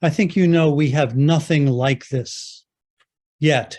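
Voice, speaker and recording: Dark and mellow in tone, a man's voice carries an American accent. His intonation is fairly even. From US Northeast, Jersey City, New Jersey. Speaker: professor of medicine, endocrinologist. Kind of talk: lecture. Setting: video call. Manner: loud; forceful.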